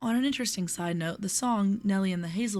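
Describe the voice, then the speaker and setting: A soft-spoken, somewhat breathy woman at medium pitch, lively intonation and a fairly quick pace, on a very clean recording with a silent background. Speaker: poetry reader. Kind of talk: casual commentary.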